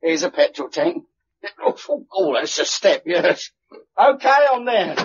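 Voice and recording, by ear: Putting on a character voice, a man speaks fairly slowly at a high pitch with big pitch swings and a slightly husky edge.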